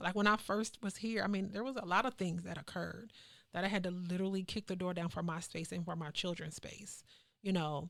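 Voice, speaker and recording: In a very clean recording with a silent background, a woman at medium pitch speaks at a fairly quick pace with fairly even intonation. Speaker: community activist. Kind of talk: casual chat. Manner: loud.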